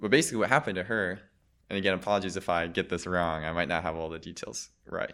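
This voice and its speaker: Talking at a very fast pace with an American accent, a man has a very deep, low voice on a very clean recording with a silent background. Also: ordinary pitch variation. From US Midwest (Michigan, Wisconsin). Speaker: ballet dancer. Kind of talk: casual chat.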